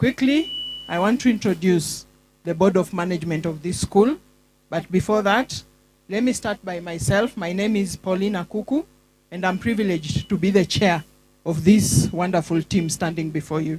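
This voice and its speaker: Somewhat breathy and medium in pitch, a woman speaks at a moderate pace with ordinary pitch variation. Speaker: school board chair. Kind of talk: formal speech. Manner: formal.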